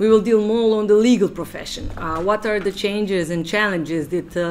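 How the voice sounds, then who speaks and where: Light background noise sits behind a woman talking at a fairly quick pace. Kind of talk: lecture. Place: meeting room. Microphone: podium.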